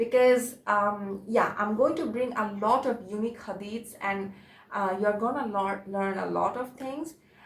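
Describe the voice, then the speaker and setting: There is audible room echo as a woman speaks at a moderate pace, fairly high in pitch and somewhat breathy. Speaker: religious video presenter. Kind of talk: informal religious talk to camera. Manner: halting, many fillers.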